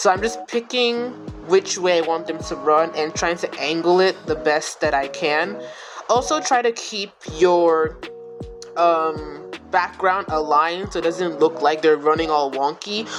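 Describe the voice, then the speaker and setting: Music plays in the background. The speaker talks at a fairly slow pace with ordinary pitch variation. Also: woman, fairly low pitch for a woman. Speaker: video editing tutorial creator. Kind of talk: tutorial. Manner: casual.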